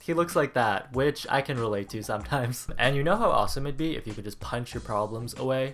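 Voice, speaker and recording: This voice swings very widely in pitch and moves at a fairly quick pace over noticeable background noise. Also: man. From Canada. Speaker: YouTube vlogger. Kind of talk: casual vlog Q&A. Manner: animated.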